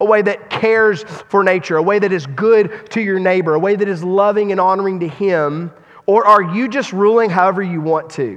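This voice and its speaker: Hardly pausing, a man speaks at a moderate pace in a high voice with ordinary pitch variation. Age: 40s. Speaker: pastor. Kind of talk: sermon. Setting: church.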